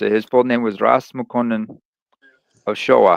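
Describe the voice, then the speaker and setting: In a dry, close sound with no echo, a man speaks in a monotone with flat intonation. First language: Tigrinya. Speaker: live stream host. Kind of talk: casual chat.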